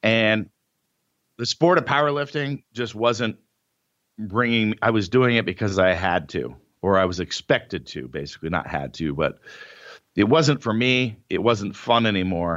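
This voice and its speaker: A man's fairly low voice with an American accent, an unremarkable speaking voice at a moderate pace, full of lively intonation. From Northern California. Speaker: powerlifter and entrepreneur. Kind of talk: interview.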